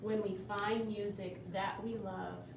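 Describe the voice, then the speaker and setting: In a put-on character voice at medium pitch, a female-sounding voice speaks fairly slowly over loud background noise with slight echo. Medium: read story.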